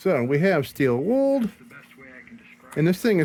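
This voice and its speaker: A man's high voice with very wide pitch swings, set against noticeable background noise. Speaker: lantern restoration hobbyist. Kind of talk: casual workshop tutorial. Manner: rambling conversational.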